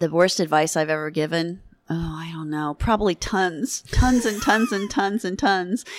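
An animated tone and lively intonation in a Californian accent, captured on a very clean recording against a silent background. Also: woman. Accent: General American, Californian. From US West Coast, Southern California. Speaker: veterinarian. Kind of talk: interview conversation.

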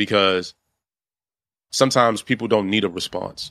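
In a dry, close sound with no echo, a man with an American accent speaks at a fairly quick pace. He has an ordinary speaking voice. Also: very clean recording, silent background. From Washington, D.C. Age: 30s. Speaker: streamer. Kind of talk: podcast interview.

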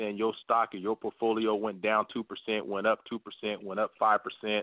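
A man speaks at a medium pitch. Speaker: finance entrepreneur. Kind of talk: call-in radio talk. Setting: phone call. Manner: halting.

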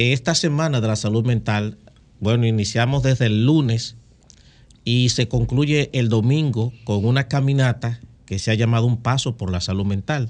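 The pitch varies in an ordinary way, at a moderate pace. It is a normal speaking voice. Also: man, medium pitch for a man. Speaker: mental health advocate. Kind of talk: interview.

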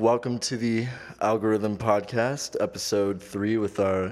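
At a fairly slow pace, a man with an unremarkable speaking voice speaks at fairly low pitch with ordinary pitch variation. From Michigan, Clarkston near Detroit. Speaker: podcast host. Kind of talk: casual interview.

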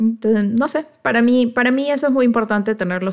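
At a moderate pace, a woman speaks with ordinary pitch variation against noticeable background noise. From Venezuela. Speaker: wedding photographer and podcast co-host. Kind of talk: casual chat.

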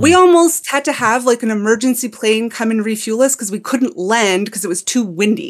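With a Montreal accent, a woman speaks at a moderate pace in a fairly high pitch, her intonation lively. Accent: Montreal Canadian English. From Montreal, Canada. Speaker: podcast guest. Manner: enunciates words clearly.

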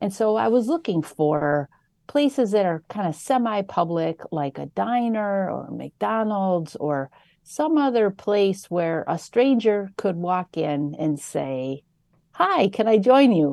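A woman's dark, mellow tone at medium pitch, with very wide pitch swings and a very slow pace. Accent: Upper Midwest. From Wisconsin. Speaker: political science professor. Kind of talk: interview. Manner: mild-mannered.

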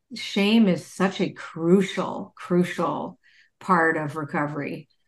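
A woman in an ordinary speaking voice talks at a fairly slow pace with a fairly low pitch and ordinary pitch variation against a quiet background. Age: 60s. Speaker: person in recovery. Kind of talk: casual chat.

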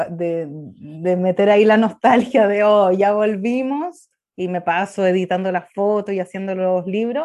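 At a fairly slow pace, a woman speaks in a Chilean accent with a fairly high pitch. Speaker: travel blogger. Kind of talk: casual interview.

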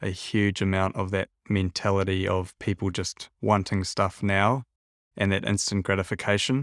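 A man with a New Zealand accent speaks at a fairly low pitch in a flat monotone, recorded very cleanly against a silent background with a dry, close sound and no echo. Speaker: podcast host. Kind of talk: interview.

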